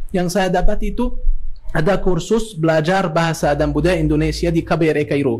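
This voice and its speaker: Over noticeable background noise, a man with an Arabic accent speaks fairly quickly at a high pitch, his pitch varying in an ordinary way. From Egypt. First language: Arabic (speaking Indonesian). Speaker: academic and Islamic teacher. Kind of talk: podcast interview. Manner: halting with many fillers.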